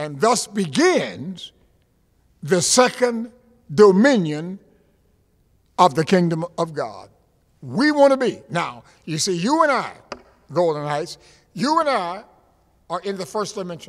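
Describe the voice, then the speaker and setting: A man with an American accent speaks at a high pitch, his animated tone swinging very widely in pitch. He talks at a fairly slow pace with long, frequent pauses against a quiet background. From US Florida. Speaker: preacher. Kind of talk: sermon. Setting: church. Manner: animated, emphatic pulpit delivery with repetition. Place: church. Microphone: podium.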